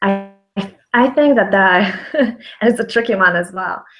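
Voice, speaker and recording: A woman with a Polish accent and ordinary pitch variation. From Poland. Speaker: brand consultant, business founder. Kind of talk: interview on a video call. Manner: hesitant, many fillers.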